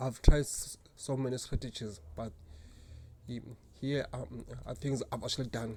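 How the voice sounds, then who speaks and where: This man speaks at a fairly slow pace with a medium pitch. His voice is somewhat breathy and shows ordinary pitch variation. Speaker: job seeker. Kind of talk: casual talk to camera. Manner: deliberately slow.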